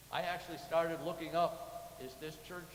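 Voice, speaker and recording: Someone with an American accent speaks at a moderate pace, with audible room echo and noticeable background noise. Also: man. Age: 70s. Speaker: church lay leader. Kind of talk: sermon. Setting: church.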